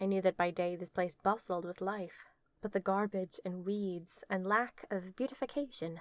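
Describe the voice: A plain reading-aloud delivery with fairly even intonation.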